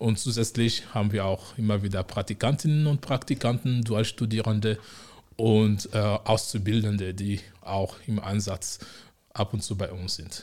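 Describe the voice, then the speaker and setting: On a very clean recording with a silent background, a man with a fairly low-pitched, somewhat breathy voice speaks at a fairly slow pace with fairly even intonation. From Togo, West Africa. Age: 40s. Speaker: city integration officer. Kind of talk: interview.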